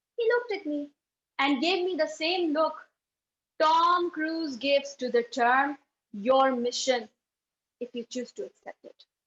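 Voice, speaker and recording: Speaking with a Pakistani accent, a woman uses a high pitch and lively intonation, leaving long, frequent pauses. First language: Urdu. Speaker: speech contestant. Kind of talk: contest speech.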